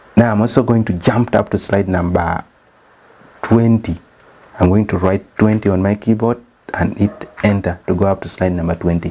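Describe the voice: Against noticeable background noise, a man with a Ugandan accent speaks at a moderate pace with a fairly low pitch and fairly even intonation.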